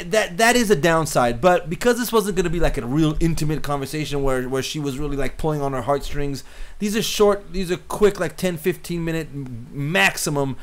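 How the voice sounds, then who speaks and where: A fairly high-pitched man at a fairly quick pace, lively intonation and hardly any pauses, with noticeable background noise. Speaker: cinematographer teaching filmmaking. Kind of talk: tutorial. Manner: fast; halting, many repeated words.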